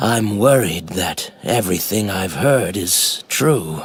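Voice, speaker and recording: A man's raspy, put-on character voice, fairly low in pitch and fairly slow. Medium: video game.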